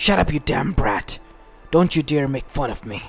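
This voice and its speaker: This is a put-on character voice, growling at a low-to-middle pitch. It moves at a moderate pace over music in the background. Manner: angry, growling.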